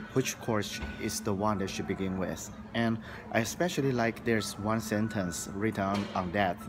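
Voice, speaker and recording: Music plays in the background as a man speaks at a moderate pace in a fairly low pitch. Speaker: English teacher. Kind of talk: interview. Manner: halting, many fillers and repeats.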